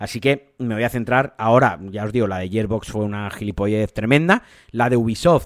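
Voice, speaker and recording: A man with an unremarkable speaking voice talks at medium pitch and a fairly quick pace, with ordinary pitch variation. The recording is very clean, with a silent background. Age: 30s. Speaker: video game podcaster. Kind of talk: solo podcast commentary.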